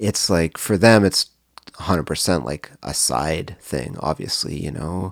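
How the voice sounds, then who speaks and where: Through a dry, close sound with no echo, a man with a Canadian accent speaks in a very deep, low pitch with vocal fry and lively intonation. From Canada, Cambridge, Ontario. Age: 40s. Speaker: songwriter and record label owner. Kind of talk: casual interview.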